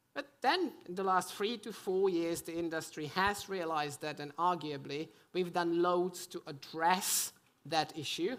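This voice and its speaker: A woman with a European accent speaks at a fairly slow pace in a fairly low pitch. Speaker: conference panelist, gambling industry. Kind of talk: panel discussion.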